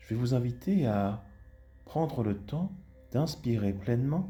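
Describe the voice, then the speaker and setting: This man's voice sits at a medium pitch with very wide pitch swings and a calm tone. Music plays in the background. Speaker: hypnotherapist. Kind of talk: guided hypnosis session. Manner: slow, calm.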